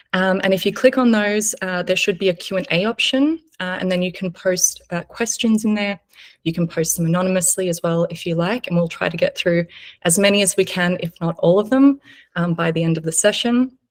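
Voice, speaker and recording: Speaking at a fairly quick pace, a woman with an Australian accent keeps a medium pitch and ordinary pitch variation. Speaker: insurance team lead. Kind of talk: webinar presentation. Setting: video webinar.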